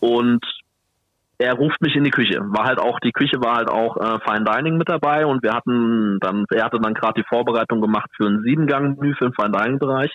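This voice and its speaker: A fairly quick-paced man with an unremarkable speaking voice, his pitch medium and his pitch variation ordinary. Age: 20s. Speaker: bar manager, trained waiter. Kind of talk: casual chat.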